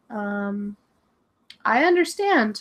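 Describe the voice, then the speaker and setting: Very clean recording of a woman at a fairly high pitch against a silent background. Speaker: English teacher and video creator. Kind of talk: casual livestream chat. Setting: livestream from home. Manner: animated.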